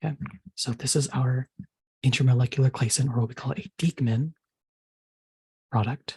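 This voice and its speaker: Soft-spoken and somewhat breathy, a man's dark, mellow tone with fairly even intonation and long, frequent pauses, in a dry, close sound with no echo. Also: medium pitch for a man, moderate pace. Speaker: chemistry tutor. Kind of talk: tutorial.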